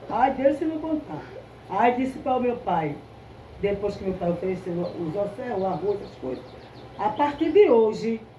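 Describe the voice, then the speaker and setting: A woman speaks at a moderate pace with very wide pitch swings. Noticeable background noise and audible room echo surround her. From Brazil, Recife, Pernambuco. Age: 70s. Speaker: candomblé priestess. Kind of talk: interview. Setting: at the temple.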